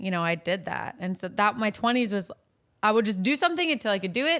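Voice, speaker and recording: Fast and bright, a woman with an American accent speaks very quickly at a fairly high pitch with a sharp tone, on a very clean recording with a silent background. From Virginia, US. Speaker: online content creator. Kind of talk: casual chat.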